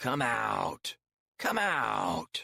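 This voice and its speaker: A man puts on a character voice that is growling and croaky. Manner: eerie, beckoning.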